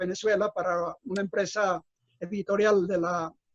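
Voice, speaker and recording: The speaker is a man with a moderate pace. His voice sounds dry and close, free of any echo. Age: 70s. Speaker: writer and former publishing executive. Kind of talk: radio interview. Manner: halting, many repetitions.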